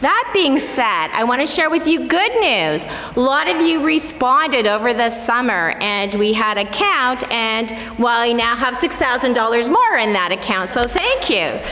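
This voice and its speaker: Over music in the background, a woman speaks at a high pitch with very wide pitch swings. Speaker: church council member giving financial update. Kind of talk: announcement to congregation. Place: church. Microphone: podium.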